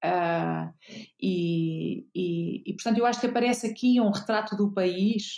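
The tone here is dark and mellow. A woman delivers her words at a very slow pace. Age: 50s. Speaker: journalist. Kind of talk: interview. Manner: hesitant, many fillers.

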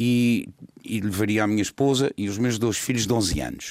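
A man talks in a normal speaking voice, fairly low in pitch with fairly even intonation. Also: very clean recording, silent background. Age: 60s. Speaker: political commentator. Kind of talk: political discussion.

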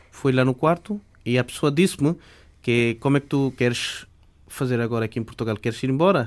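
A man speaks at a moderate pace with a fairly high pitch and ordinary pitch variation, on a very clean recording with a silent background. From Bangladesh (Chittagong). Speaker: immigrant, former journalism student. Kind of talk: radio interview. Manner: halting.

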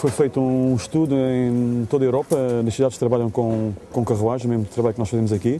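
Noticeable background noise accompanies a man whose voice is pitched at a medium level. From Portugal. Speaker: tour guide. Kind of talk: tour commentary and interview.

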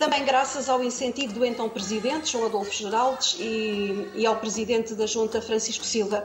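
Fairly high-pitched woman speaking at a moderate pace with fairly even intonation and hardly any pauses, amid audible room echo and noticeable background noise. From Portugal, Proença-a-Velha, Castelo Branco. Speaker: folk group representative. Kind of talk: interview. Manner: hesitant, many fillers.

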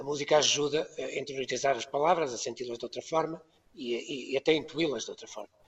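This man speaks at a very fast pace, with a fairly high pitch. His loudness swings widely while his intonation stays fairly even. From Portugal, Ermesinde near Porto. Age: 70s. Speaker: composer. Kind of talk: panel discussion, remote guest. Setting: Skype call.

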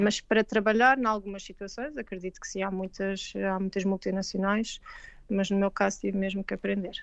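With a Lisbon accent, a woman speaks at a fairly quick pace with a medium pitch. Her intonation is fairly even, with a quiet background. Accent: European Portuguese, Lisbon. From Portugal, Lisbon. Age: 40s. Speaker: veterinarian. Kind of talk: interview. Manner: halting, many repetitions.

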